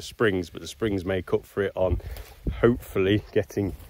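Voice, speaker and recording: A normal speaking voice at a moderate pace, dry with no echo, over light background noise. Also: man. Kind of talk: casual explanatory vlog. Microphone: phone near.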